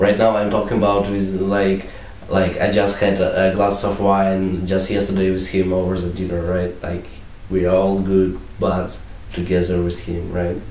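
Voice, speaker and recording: A man with an Eastern European accent speaks at a very deep, low pitch and a moderate pace, his intonation monotone and flat. Audible room echo and noticeable background noise fill the recording. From Latvia, Russian-speaking family. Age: 20s. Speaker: student vlogger. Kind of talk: comedic vlog.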